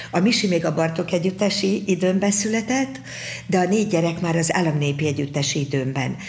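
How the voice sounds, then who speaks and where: Fairly quick speech with very even loudness is heard with audible room echo. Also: woman, fairly low pitch for a woman, ordinary pitch variation. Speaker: folk dance teacher. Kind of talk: interview. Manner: halting.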